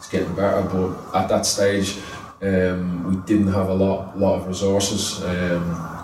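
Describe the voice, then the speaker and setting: A man with an Irish accent speaks slowly in a very deep, low voice with monotone, flat intonation. There is noticeable background noise and audible room echo. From Ireland. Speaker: youth football coach. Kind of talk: interview. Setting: football training ground.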